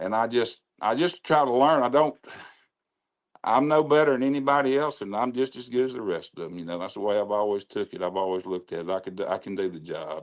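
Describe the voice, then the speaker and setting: Lively in intonation and fairly quick, the speech carries a Mississippi accent on a very clean recording with a silent background. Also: man. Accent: Southern US (Mississippi). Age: 70s. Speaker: racetrack announcer. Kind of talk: casual chat.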